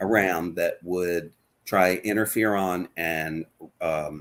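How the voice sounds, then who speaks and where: This man has a very deep, low pitch. He speaks in a Baltimore accent with fairly even intonation. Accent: Baltimore American English. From Baltimore, Maryland, US. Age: 60s. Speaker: patient advocate. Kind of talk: interview testimony.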